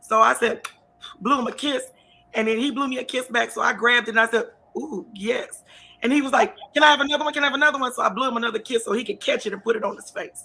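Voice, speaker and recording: A woman speaks at a very fast pace in a raised, projected voice, high-pitched and animated with ordinary pitch variation. Music plays in the background. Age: 50s. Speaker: talk show host. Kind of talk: casual interview chat.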